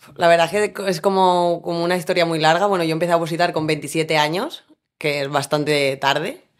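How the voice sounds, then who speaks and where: The recording is very clean, with a silent background. A woman speaks with a very deep, low pitch and fairly even intonation. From Spain, Valencia. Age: 30s. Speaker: firefighter. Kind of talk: interview.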